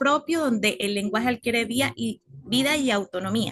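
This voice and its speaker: A woman talks at a moderate pace with a fairly high pitch and lively intonation. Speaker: university student. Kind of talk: class presentation.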